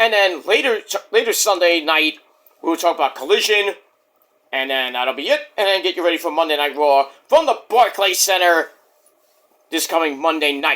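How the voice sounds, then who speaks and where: Here a man speaks with a high pitch and a bright, sharp tone. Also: ordinary pitch variation, moderate pace. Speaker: wrestling podcaster. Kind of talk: casual vlog monologue. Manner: keeping voice down.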